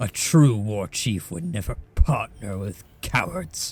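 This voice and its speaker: Using a put-on character voice, a man speaks at a fairly slow pace with fairly low pitch. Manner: aggressive, contemptuous.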